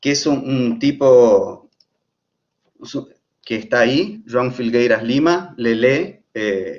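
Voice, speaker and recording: Speaking at a very slow pace with long, frequent pauses, a man has a slight Argentine accent. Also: medium pitch for a man, lively intonation. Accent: slightly Argentine Spanish. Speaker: architect and professor. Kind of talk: lecture. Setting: live stream. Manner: halting, many fillers.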